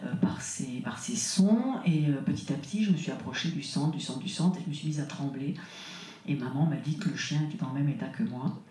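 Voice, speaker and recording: A woman with a very deep, low voice speaks at a fairly quick pace with lively intonation. Audible room echo surrounds her. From France, childhood partly in Burkina Faso. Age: 60s. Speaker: author and trance researcher. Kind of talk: conference interview. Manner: halting, many hesitations.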